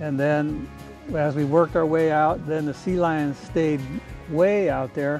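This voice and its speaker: A man's voice with fairly even intonation, dry with no echo, faint music in the background. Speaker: fishing guide or angler. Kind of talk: interview answer. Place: boat. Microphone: camera far.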